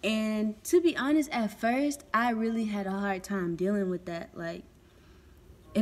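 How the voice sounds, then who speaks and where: The speaker has a Southern US accent and lively intonation. The pace is moderate. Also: woman. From US South, Texas. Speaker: vlogger. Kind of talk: casual vlog monologue. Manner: hesitant, filler-heavy.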